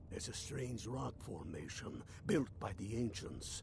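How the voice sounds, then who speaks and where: A put-on character voice at a moderate pace over loud background noise. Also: man. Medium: video game. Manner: gruff, blunt.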